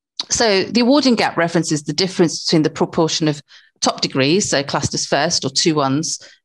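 Against a quiet background, a woman with a British accent and a very deep, low pitch talks at a fairly quick pace with ordinary pitch variation. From born in Africa, grew up in England. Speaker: university academic, former social worker; webinar presenter. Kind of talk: webinar presentation. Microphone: video call.

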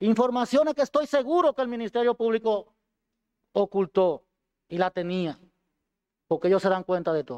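A man with a high-pitched voice speaks at a moderate pace with lively intonation, leaving long, frequent pauses. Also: quiet background. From Dominican Republic, Duarte province; Dominican Republic. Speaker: defendant, former police colonel. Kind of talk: court statement. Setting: courtroom. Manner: formal. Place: hall. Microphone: podium.

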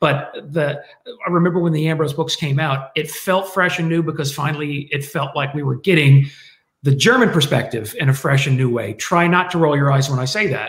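A man with an American accent speaks at a fairly quick pace in a somewhat breathy, fairly high voice with ordinary pitch variation. There is audible room echo over a quiet background. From United States. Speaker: military historian; guest. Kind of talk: panel discussion. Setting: video call. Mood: reflective, slightly wry. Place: home room. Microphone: webcam.

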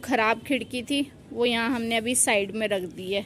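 A woman's high-pitched voice at a fairly slow pace, fairly even in intonation, over light background noise. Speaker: family vlogger. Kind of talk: casual vlog chat. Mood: mildly worried about rain. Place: street. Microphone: phone near.

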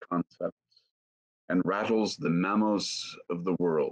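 Moderate pace from a man, quiet background behind him. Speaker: session organizer. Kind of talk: reading aloud. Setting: video call. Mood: calm, devotional. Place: home room. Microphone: webcam.

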